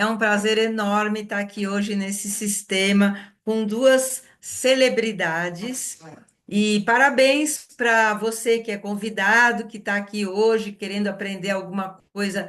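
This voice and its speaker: This woman's pitch is fairly high, with fairly even intonation. She talks at a very slow pace. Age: 60s. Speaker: wellness product consultant hosting a live session. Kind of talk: live webinar introduction.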